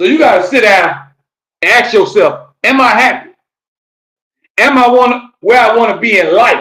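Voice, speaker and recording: A man with an American accent speaks in a raised, projected voice at an extremely high pitch, his tone bright, sharp and animated. He keeps a moderate pace but takes long, frequent pauses. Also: ordinary pitch variation. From Florida, Fort Lauderdale. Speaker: podcast host and rapper. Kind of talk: live-streamed motivational talk. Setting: live stream, solo on camera.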